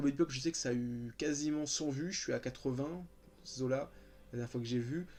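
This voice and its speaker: Talking at a fairly quick pace, a man has a medium pitch and a dark, mellow tone. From France, Paris region (Val-de-Marne). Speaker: YouTuber. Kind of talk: casual chat. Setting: sitting on his bed at home. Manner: calm; hesitant, many fillers.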